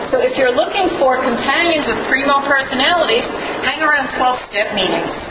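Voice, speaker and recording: A woman's voice with ordinary pitch variation over crowd noise in the background. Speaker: humorist and spoken word artist. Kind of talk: humorous storytelling monologue.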